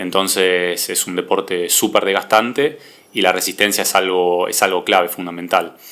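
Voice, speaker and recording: The man's very deep, low voice keeps a moderate pace, its intonation fairly even. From Argentina, Buenos Aires area. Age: 20s. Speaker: athlete. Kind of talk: interview. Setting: podcast.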